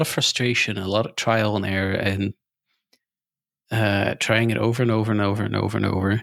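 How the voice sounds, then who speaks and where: At a moderate pace, a man of medium pitch speaks with a bright, sharp tone and fairly even intonation. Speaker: programming language designer. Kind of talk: interview conversation. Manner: hesitant, with fillers and stutters.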